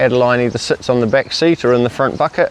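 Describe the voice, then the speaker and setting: A man talks at a medium pitch with a New Zealand accent. Background noise is noticeable. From New Zealand, Rotorua. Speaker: family cycling vlogger, parent. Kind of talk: casual chat.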